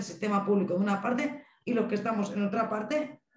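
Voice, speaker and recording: Amid audible room echo, a woman speaks with fairly even intonation. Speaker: mental health family association representative. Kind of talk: panel discussion. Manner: fast.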